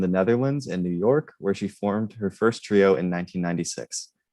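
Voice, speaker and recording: A man's ordinary speaking voice with an American accent, fairly low in pitch, at a moderate pace. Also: quiet background. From US Northeast, Rhode Island. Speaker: student intern, panel moderator. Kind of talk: panel introductions. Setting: online livestream.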